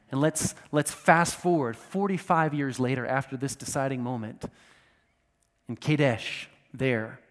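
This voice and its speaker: In an American accent, a man speaks at a fairly high pitch with ordinary pitch variation in a plain, everyday voice. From United States. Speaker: pastor. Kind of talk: sermon. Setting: church.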